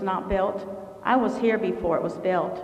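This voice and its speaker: A woman speaks at a moderate pace with fairly even intonation. The recording has noticeable background noise and audible room echo. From abroad, immigrated to the US at age seven. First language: not English. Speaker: city council candidate. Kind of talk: candidate forum closing statement. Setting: community center forum with audience.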